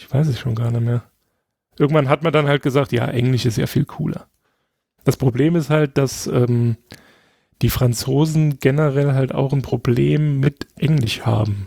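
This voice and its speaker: Somewhat breathy and dark, mellow in tone, a man's medium-pitched voice moves at a moderate pace with fairly even intonation and long, frequent pauses, in a dry, close sound with no echo. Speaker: podcast guest. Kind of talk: casual chat. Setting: remote call.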